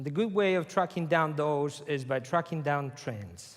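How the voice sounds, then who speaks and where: In a Spanish accent, a man with a fairly high pitch speaks with lively intonation on a very clean recording with a silent background. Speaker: conference speaker. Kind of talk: lecture.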